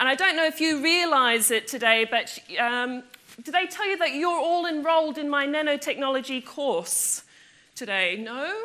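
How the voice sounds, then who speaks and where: Bright and sharp in tone, a woman's high, raised, projected voice moves at a moderate pace with lively intonation. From Australia. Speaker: physics lecturer. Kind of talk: public lecture. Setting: lecture theatre with audience. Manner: animated.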